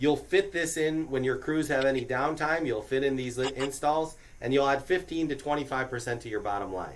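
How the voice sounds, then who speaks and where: With a New York accent, a man of fairly high pitch talks at a fairly quick pace with hardly any pauses and ordinary pitch variation. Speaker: business recruiter. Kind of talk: orientation presentation. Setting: small room with audience. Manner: casual, conversational.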